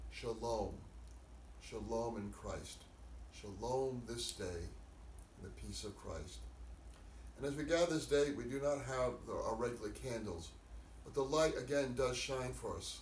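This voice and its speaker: A voice speaks at a fairly slow pace with long, frequent pauses, audible room echo and light background noise. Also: man. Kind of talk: sermon. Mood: calm, solemn, slow. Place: home room. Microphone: camera far.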